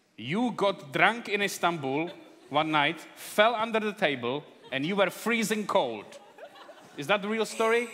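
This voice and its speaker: Amid noticeable background noise, a man projects a raised voice at a high pitch and a fairly slow pace, his intonation lively. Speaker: event host. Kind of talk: casual comedic introduction on stage.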